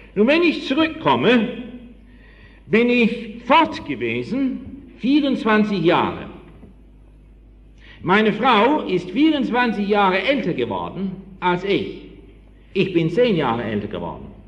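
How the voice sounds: Heard with audible room echo, a man speaks slowly in a high pitch with big pitch swings.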